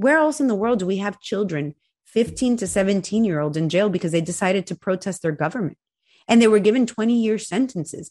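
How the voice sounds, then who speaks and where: On a very clean recording with a silent background, a woman talks at a very fast pace. Her medium-pitched voice has lively intonation. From Venezuela. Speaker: Cuban-American activist. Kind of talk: interview.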